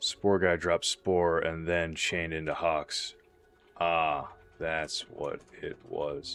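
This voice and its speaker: Over music in the background, a man mumbles at a very slow pace. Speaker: gaming streamer. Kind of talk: live gameplay commentary. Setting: livestream. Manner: mumbling; casual, conversational.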